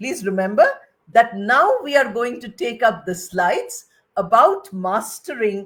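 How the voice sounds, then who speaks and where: Speaking fairly slowly, a woman with a fairly high pitch shows big swings in loudness. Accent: Bengali. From India (Bengali). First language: Bengali. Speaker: retired English professor. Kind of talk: lecture.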